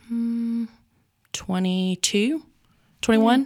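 In a very clean recording with a silent background, a woman speaks very slowly with a Southern US accent. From North Carolina. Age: 20s. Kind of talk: casual chat.

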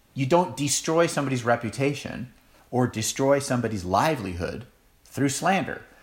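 Audible room echo surrounds a man speaking at a medium pitch and moderate pace with lively intonation. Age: 40s. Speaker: pastor. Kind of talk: sermon.

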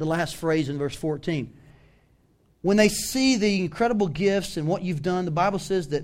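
A man speaks with a Southern US accent at a high pitch. He keeps a moderate pace with ordinary pitch variation. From US South. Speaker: pastor. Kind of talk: sermon. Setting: church.

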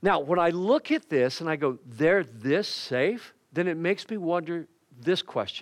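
Against a quiet background, a man with an unremarkable speaking voice talks at a moderate pace in a fairly high pitch with lively intonation. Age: 60s. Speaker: pastor. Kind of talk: sermon. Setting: church.

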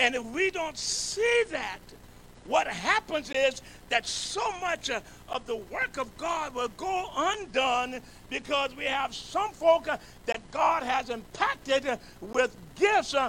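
With a raised, projected voice, a man speaks very slowly at an extremely high pitch with lively intonation. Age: 70s. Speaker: bishop, pastor. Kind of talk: sermon. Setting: church. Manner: animated.

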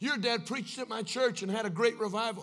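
Speaking fairly quickly with an American accent, a man has a high voice with a bright, sharp tone. His pitch variation is ordinary. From United States. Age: 30s. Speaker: evangelist preacher. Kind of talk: sermon. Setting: church with live congregation. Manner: animated.

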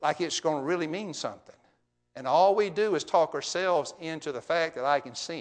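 Against a quiet background, a man with an unremarkable speaking voice talks fairly quickly at a fairly high pitch with ordinary pitch variation. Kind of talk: sermon. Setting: church.

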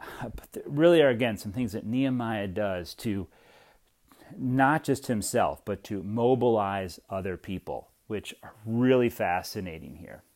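A man speaks in a plain, everyday voice at a medium pitch and a fairly slow pace, with lively intonation and big swings in loudness. The recording is very clean with a silent background. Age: 40s. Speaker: pastor. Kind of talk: podcast teaching on scripture. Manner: casual, with frequent fillers.

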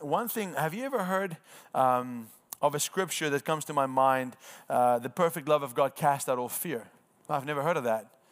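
With ordinary pitch variation, an ordinary speaking voice proceeds at a moderate pace. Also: man, fairly high pitch for a man, very clean recording, silent background. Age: 30s. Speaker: evangelism trainer. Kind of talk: training workshop. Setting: room with live audience.

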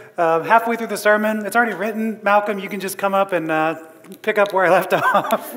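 Noticeable background noise accompanies a fairly quick delivery. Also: man, high pitch for a man, ordinary pitch variation. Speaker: pastor. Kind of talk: sermon. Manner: halting.

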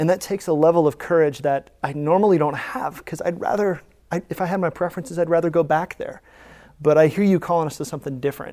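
The speaker has an American accent and talks at a very fast pace. The recording is very clean, with a silent background. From United States. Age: 30s. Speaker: pastor. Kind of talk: church panel discussion moderation. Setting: church stage with congregation.

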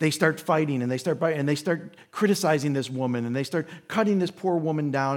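A man's ordinary speaking voice, fairly high in pitch, in an American accent and at a moderate pace. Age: 50s. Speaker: visiting pastor. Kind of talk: sermon. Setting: church.

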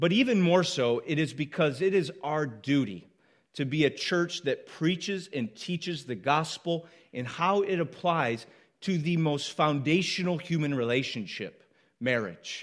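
An unremarkable speaking voice from a man, fairly high in pitch, with lively intonation at a fairly slow pace, in a very clean recording with a silent background. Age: 30s. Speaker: pastor. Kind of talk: sermon. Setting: church.

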